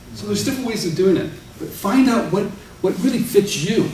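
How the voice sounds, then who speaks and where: Talking at a fairly quick pace, a man is heard with audible room echo and light background noise. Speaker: speaker. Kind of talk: talk to an audience. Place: meeting room.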